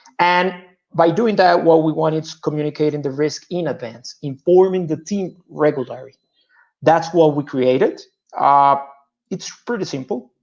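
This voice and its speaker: With a Spanish accent, a man speaks at a fairly high pitch and with ordinary pitch variation. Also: moderate pace. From Colombia. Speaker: petroleum engineer and startup founder. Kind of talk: startup pitch.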